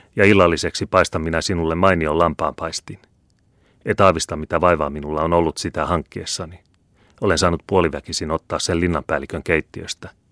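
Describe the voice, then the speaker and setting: Recorded very cleanly against a silent background, with a dry, close sound and no echo, a man with a very deep, low voice speaks at a moderate pace. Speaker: audiobook narrator. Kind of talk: reading aloud.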